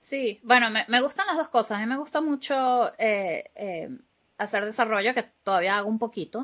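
Lively in intonation, a woman delivers her words at a moderate pace. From Venezuela. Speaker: AI expert and software developer. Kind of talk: interview.

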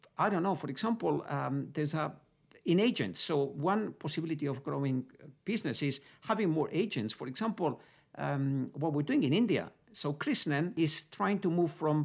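Speaking with a Spanish accent at a moderate pace, this voice comes through in a very clean recording with a silent background. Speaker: group chief executive. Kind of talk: business interview answers.

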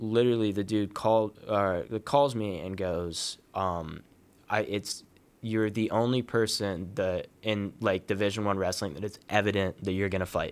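In a very clean recording with a silent background, a man with an American accent speaks at a moderate pace in a plain, everyday voice, his fairly low pitch following fairly even intonation. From Columbus, Ohio, US Midwest. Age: 20s. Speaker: amateur MMA fighter and former college wrestler. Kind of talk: casual interview.

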